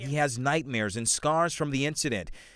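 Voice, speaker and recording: Over a silent background in a very clean recording, a man with an unremarkable speaking voice talks at a fairly quick pace. His pitch is fairly high. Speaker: TV news reporter. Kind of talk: TV news package reporter narration.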